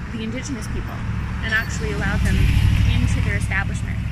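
A woman speaks in a dry sound with no echo, though loud background noise surrounds her. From Yellowknife, Northwest Territories, Canada. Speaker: author and poet. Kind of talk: casual talk to camera, local history tour. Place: street. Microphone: phone near.

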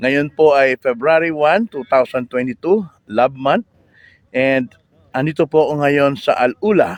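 The sound is dry and close, without echo. A man with a fairly high pitch speaks very slowly, with ordinary pitch variation. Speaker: vlogger. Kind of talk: live stream. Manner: halting.

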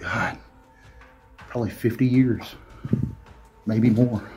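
Faint music plays in the background as the speaker talks at a very slow pace with monotone, flat intonation. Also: man. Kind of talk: casual vlog chat. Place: tunnel cave. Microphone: phone near.

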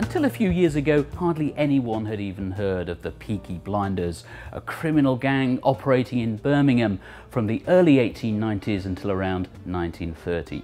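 Someone speaks at a moderate pace with music playing in the background. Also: man. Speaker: documentary presenter. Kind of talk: documentary narration. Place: bar. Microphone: lapel.

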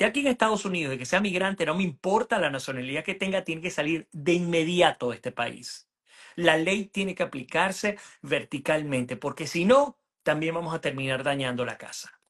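A man with a Venezuelan accent talks at a fairly quick pace in a high pitch. His intonation is lively, and the background is quiet. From Venezuela (Puerto Ordaz). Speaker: journalist and political analyst; journalist, political analyst. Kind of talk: political interview. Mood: earnest, argumentative. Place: home room. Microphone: video call.

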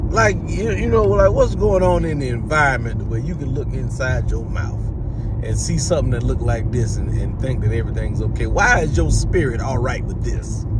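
A man at a moderate pace, loud background noise, dry sound with no echo. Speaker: comedian. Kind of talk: comedic commentary. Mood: mock-serious, incredulous. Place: car. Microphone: phone near.

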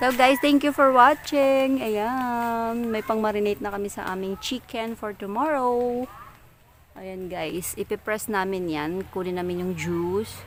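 In an ordinary speaking voice, a woman speaks at a fairly high pitch and a fairly slow pace, with lively intonation and big swings in loudness. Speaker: vlogger. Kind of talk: casual vlog narration. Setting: outdoors.

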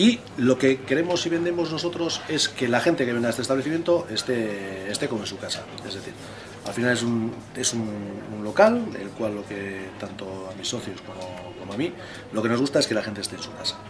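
A man speaks at a fairly quick pace, his loudness swinging widely. There is noticeable background noise. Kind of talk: interview answer. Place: bar.

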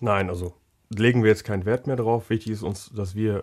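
A man with a normal speaking voice, medium pitch and fairly even intonation, at a fairly quick pace, on a very clean recording with a silent background. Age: 20s. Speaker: technical apprenticeship trainer. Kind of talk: casual interview.

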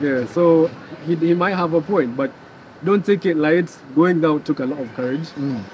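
With a Kenyan accent, a man talks at a moderate pace with ordinary pitch variation. The sound is dry with no echo, and there is light background noise. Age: young. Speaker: protester; interview guest. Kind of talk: casual chat.

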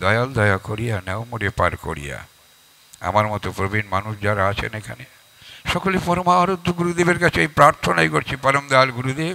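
A man with a fairly low pitch speaks with very wide pitch swings. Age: 80s+. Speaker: religious speaker, event anchor; speaker, event anchor. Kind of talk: religious address. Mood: earnest, devotional. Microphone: handheld.

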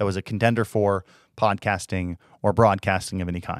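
A man with an unremarkable speaking voice talks at a fairly quick pace with fairly even intonation, in a dry sound with no echo against a quiet background. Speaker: tech reviewer. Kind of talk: product review commentary. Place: studio. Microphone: studio mic.

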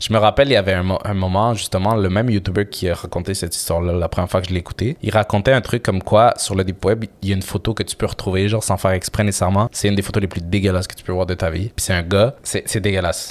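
Speaking at a very fast pace with a Quebec accent, a man keeps a fairly low pitch and fairly even intonation. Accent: Québécois French. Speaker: podcast co-host. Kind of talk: casual chat.

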